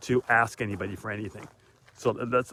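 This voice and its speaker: A man talks with ordinary pitch variation. His pitch sits in the medium range. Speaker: motivational vlogger. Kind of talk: motivational talk while walking. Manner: fast.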